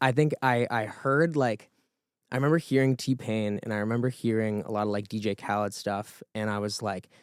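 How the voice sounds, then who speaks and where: A plain, everyday voice from a man with an American accent, medium in pitch, fairly quick, with ordinary pitch variation, on a very clean recording with a silent background. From Rhode Island, US. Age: 30s. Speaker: music producer. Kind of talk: podcast interview. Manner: casual, many fillers and restarts.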